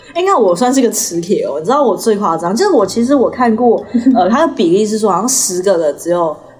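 The speaker talks at a very fast pace with very wide pitch swings. Noticeable background noise runs underneath. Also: woman. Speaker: podcast co-host. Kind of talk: casual chat.

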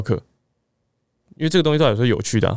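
The intonation here is lively. The recording is very clean, with a silent background. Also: man. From southern Taiwan. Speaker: fitness coach. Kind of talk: casual chat.

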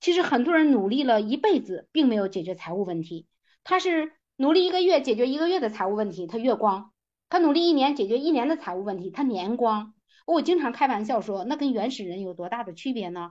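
Very wide pitch swings at a fairly quick pace, against a quiet background. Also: woman, fairly high pitch for a woman. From rural China. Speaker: direct-selling business leader. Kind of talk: motivational lecture.

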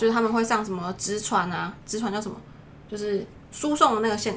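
A woman speaks at a fairly quick pace with medium pitch and fairly even intonation. Noticeable background noise sits behind her. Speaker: doctoral student. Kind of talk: casual chat.

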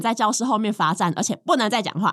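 A woman with a Taiwanese accent talks at a very fast pace with lively intonation. The recording is very clean, with a silent background. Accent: Taiwanese Mandarin. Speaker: co-host reading sponsor ad. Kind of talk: casual chat.

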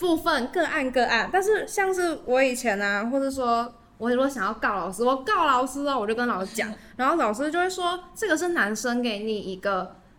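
A woman speaks at a moderate pace in a high pitch with very wide pitch swings. Noticeable background noise is present. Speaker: youth podcast host. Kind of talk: casual chat. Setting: recording venue.

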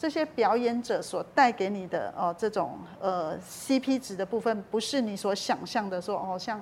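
This woman has a normal speaking voice, a medium pitch and lively intonation. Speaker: talent agent for visually impaired performers, author. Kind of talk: interview.

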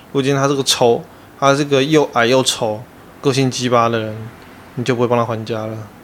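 Speaking at a fairly quick pace with long, frequent pauses, a man holds a medium pitch in a monotone, flat intonation. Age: 30s. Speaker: podcast co-host. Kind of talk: casual chat.

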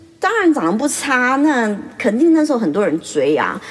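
A woman's voice moves through very wide pitch swings. Noticeable background noise runs underneath. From Taiwan. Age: 40s. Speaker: beautician and podcast host. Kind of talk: casual monologue. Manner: chatty, laughs often.

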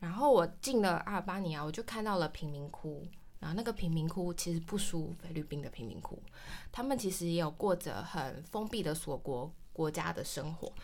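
Using a plain, everyday voice, a woman at a fairly low pitch speaks at a moderate pace with lively intonation. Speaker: traveler, cram school teacher. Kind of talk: interview chat.

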